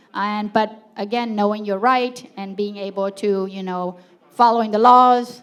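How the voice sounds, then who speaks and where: A woman speaks in a flat monotone with a non-native accent, and noticeable background noise can be heard. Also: medium pitch for a woman, fairly slow pace, big swings in loudness. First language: not English. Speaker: city council candidate. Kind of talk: candidate forum answer.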